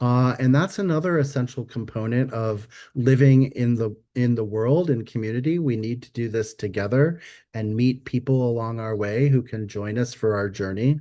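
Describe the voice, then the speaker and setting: A man with a dark, mellow tone speaks against a quiet background. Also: medium pitch for a man, ordinary pitch variation, moderate pace. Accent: American. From US Midwest. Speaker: stewardship workshop presenter. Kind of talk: webinar presentation. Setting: video webinar. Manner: loud; animated.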